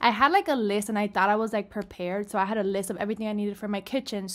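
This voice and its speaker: The background stays quiet while a woman talks. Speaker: vlogger. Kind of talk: casual vlog chat. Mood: chatty, animated. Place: home room. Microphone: webcam.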